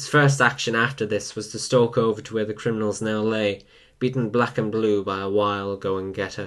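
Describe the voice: Someone does plain reading aloud with fairly even intonation.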